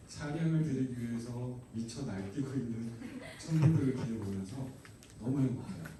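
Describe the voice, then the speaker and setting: A man is speaking with audible room echo. Noticeable background noise is present. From Gangwon Province, South Korea (Taebaek). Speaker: pastor. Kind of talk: sermon. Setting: youth retreat hall with audience.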